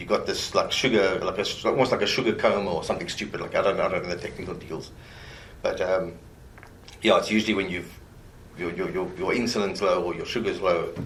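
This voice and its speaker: With audible room echo, a man talks at a very fast pace. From South Africa. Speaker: murder suspect. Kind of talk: police interrogation.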